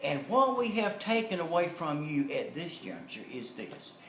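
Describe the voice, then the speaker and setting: Audible room echo carries a man's voice as it moves through very wide pitch swings. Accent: Southern US. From North Carolina. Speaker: motivational speaker and network marketer. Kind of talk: storytelling and sales pitch.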